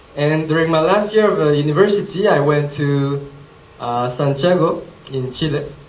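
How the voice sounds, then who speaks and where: At a moderate pace and fairly high pitch, a man speaks with ordinary pitch variation amid audible room echo. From Switzerland, near Geneva (French-speaking). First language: French. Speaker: presenter, social entrepreneur. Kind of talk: presentation talk. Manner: hesitant, many fillers.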